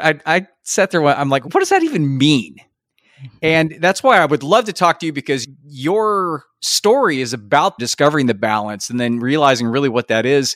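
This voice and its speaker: A normal speaking voice: a man with a fairly high pitch talks at a moderate pace with lively intonation. The recording is very clean and silent behind him, with a dry, close sound and no echo. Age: 50s. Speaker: podcast host and confidence coach. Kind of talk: interview.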